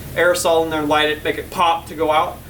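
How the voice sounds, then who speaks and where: Against noticeable background noise, a man with a fairly high voice talks at a very fast pace. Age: 30s. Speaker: car builder vlogger. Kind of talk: casual vlog talk. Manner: halting, repeats words.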